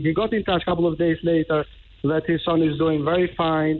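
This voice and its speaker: A man speaks very fast with a strong non-native accent. His pitch is fairly high. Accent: foreign accent, strong. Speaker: caller, witness. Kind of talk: radio phone-in. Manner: halting.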